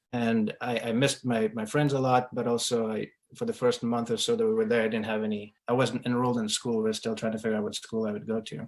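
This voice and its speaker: A man with a medium pitch rushes along at a very fast pace in a monotone, flat intonation, with hardly any pauses. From Ukraine and Sierra Leone. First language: Russian. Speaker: real estate investor. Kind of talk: interview.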